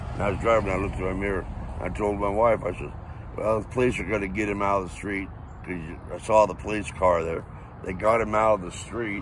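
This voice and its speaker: With audible room echo, a man at a fairly low pitch speaks very fast with fairly even intonation. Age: 70s. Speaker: eyewitness, Vietnam veteran. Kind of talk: interview testimony. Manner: casual, colloquial.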